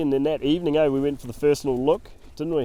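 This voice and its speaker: A man's fairly high-pitched voice in a dark, mellow tone, with a New Zealand accent. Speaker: hunting guide and podcast host. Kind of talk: casual chat.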